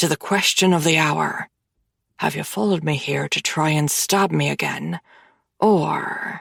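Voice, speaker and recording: A growling, put-on character voice at a middle pitch moves at a moderate pace. The sound is dry and close, with no echo. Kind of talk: low, threatening.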